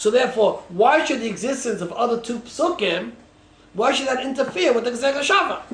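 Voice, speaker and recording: Amid noticeable background noise and audible room echo, a man with an extremely high pitch speaks with lively intonation. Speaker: rabbi teaching a Talmud class. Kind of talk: lecture.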